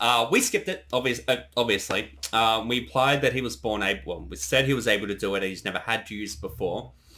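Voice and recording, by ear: Talking at a fast pace, a man has a bright, sharp tone.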